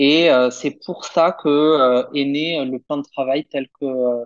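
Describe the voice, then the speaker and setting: With a slight southern French accent, a man speaks very slowly at a fairly high pitch with fairly even intonation, in a dry, close sound with no echo. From southern France, Perpignan. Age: 30s. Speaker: primary school teacher. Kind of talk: casual interview.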